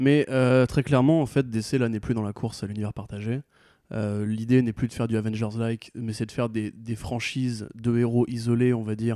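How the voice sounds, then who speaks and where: At a moderate pace, a man speaks in a flat monotone at medium pitch, his tone dark and mellow, on a very clean recording with a silent background. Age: 20s. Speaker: comics blog writer. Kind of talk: casual chat.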